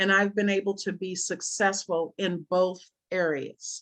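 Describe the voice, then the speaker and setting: With a quiet background, a woman of medium pitch speaks at a fairly slow pace with fairly even intonation in an unremarkable speaking voice. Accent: American. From USA. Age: 60s. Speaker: business presenter. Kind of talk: sales pitch.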